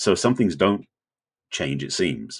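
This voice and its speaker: Someone with an English accent and vocal fry speaks at a fairly quick pace on a very clean recording with a silent background. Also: man. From England. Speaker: relationship coach and podcast co-host. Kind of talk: casual podcast conversation.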